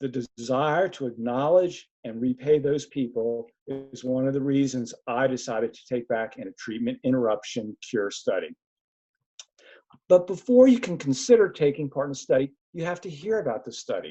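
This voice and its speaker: This is an ordinary speaking voice from a man with a fairly high pitch. He talks at a moderate pace with ordinary pitch variation. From US Northeast, Philadelphia. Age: 60s. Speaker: research participant and community advisor. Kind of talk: webinar presentation. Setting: webinar.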